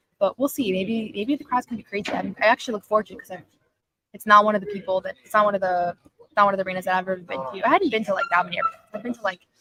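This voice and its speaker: A woman's very fast, lively-toned speech with big swings in loudness, the sound dry and close with no echo. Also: medium pitch for a woman. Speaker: sports journalist. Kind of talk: live stream Q&A. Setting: press room at arena. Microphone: audio issues.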